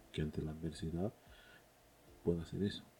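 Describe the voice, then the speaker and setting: A man's very deep, low voice, somewhat breathy and dark and mellow in tone, with fairly even intonation at a fairly quick pace. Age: 30s. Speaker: film podcast host. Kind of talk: casual monologue. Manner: hesitant, many fillers.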